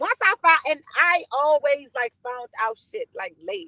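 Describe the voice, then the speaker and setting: With a raised, projected voice and an animated tone, a woman speaks at a high pitch and a moderate pace, her pitch swinging very widely in a dry, close sound with no echo. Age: 30s. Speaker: podcast co-host. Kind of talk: casual chat.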